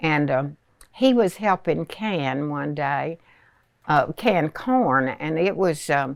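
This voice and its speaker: On a very clean recording with a silent background, a woman with an American accent speaks in a very deep, low pitch. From Southern United States. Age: 80s+. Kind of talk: interview answer. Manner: slow, hesitant.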